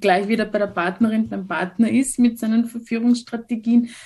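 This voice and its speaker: A somewhat breathy woman speaks at a moderate pace with fairly even intonation. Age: 40s. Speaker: social worker and sex educator. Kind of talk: interview.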